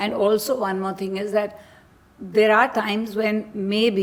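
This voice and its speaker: Noticeable background noise runs under the voice. The intonation stays fairly even. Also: woman. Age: 60s. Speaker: model. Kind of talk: casual chat.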